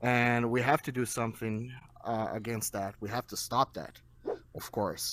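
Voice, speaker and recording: A man with a Portuguese accent at a medium pitch, fairly slow pace and fairly even intonation. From Brazil. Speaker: debate participant in VR chat room. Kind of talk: casual debate. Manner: halting with repetitions.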